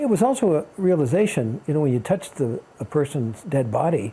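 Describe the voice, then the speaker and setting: Fairly high in pitch, this man's voice has a dark, mellow tone and is somewhat breathy. He moves at a fairly quick pace with lively intonation. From Kansas. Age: 70s. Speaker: retired archbishop and author. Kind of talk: interview. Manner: halting, with frequent restarts.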